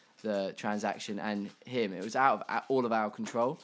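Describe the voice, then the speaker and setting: Delivered at a moderate pace with fairly even intonation, the voice sits on a very clean recording with a silent background. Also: man. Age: 20s. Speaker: podcast host. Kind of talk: casual chat. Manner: halting.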